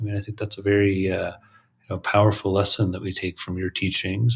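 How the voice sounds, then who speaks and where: A man's very deep, low voice, somewhat breathy. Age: 40s. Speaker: psychiatrist and podcast host. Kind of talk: interview. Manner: halting.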